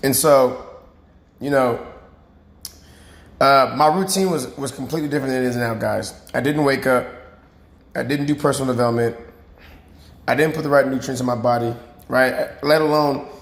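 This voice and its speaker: A man speaks at a moderate pace and a fairly high pitch, with fairly even intonation and long, frequent pauses. There is audible room echo. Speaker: fitness coach. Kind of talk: motivational talk to camera. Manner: casual, filler-heavy.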